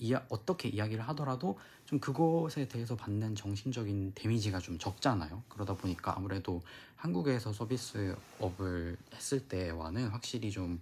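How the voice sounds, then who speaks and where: A man speaks at a moderate pace with a fairly low pitch. His voice is somewhat breathy, and his intonation is lively. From South Korea. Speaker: flight attendant vlogger. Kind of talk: casual vlog talk to camera. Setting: recorded while abroad in Nice, France. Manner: casual with frequent filler sounds.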